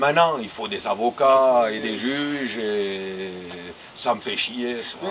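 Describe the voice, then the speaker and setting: Speaking at a very slow pace and medium pitch, a man shows big swings in loudness. Noticeable background noise is present. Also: ordinary pitch variation. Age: 60s. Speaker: sculptor. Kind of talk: interview. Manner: hesitant.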